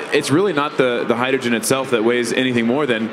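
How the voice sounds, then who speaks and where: Over noticeable background noise, a man talks at a very fast pace with ordinary pitch variation. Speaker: panelist. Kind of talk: panel discussion answer. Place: stage. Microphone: handheld.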